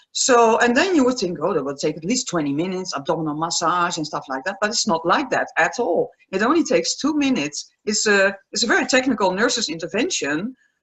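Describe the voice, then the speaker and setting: A woman talks very fast in a Dutch accent at a medium pitch. Her pitch swings very wide. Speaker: aromatherapist and palliative care nurse. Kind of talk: interview.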